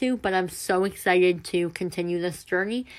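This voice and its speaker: Recorded very cleanly against a silent background, a woman talks at a very fast pace in a medium pitch. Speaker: podcast host. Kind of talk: casual monologue. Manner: loud.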